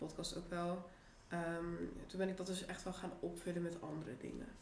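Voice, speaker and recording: A woman with a fairly low pitch and monotone, flat intonation, against noticeable background noise and audible room echo. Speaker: podcast host. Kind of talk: casual chat.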